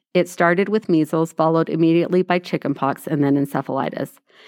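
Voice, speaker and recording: Speaking in a normal speaking voice, a woman uses a fairly low pitch with ordinary pitch variation, and the sound is dry and close with no echo. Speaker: podcast host. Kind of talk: casual chat.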